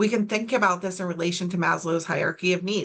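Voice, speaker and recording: This woman has an ordinary speaking voice with medium pitch and ordinary pitch variation. She talks at a fairly quick pace. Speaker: suicide prevention trainer. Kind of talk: training presentation.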